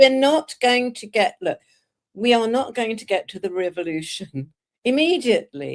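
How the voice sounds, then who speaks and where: A woman speaks with a British accent at a moderate pace, her pitch fairly high. Her pitch swings very widely and her loudness rises and falls a lot. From Britain. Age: 70s. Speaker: political activist and author. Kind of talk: political discussion. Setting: live video stream.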